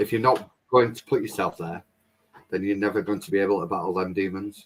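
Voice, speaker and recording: With a plain, everyday voice, a man at a fairly low pitch talks fairly quickly, showing ordinary pitch variation and big swings in loudness. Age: 30s. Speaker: family vlogger. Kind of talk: casual chat.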